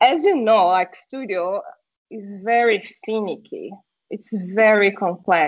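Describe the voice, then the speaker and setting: Speaking with a Portuguese accent at a very slow pace, the voice shows ordinary pitch variation and big swings in loudness. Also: woman, fairly high pitch for a woman. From Brazil. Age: 30s. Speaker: streamer and car community product manager. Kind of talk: casual interview chat. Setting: video call.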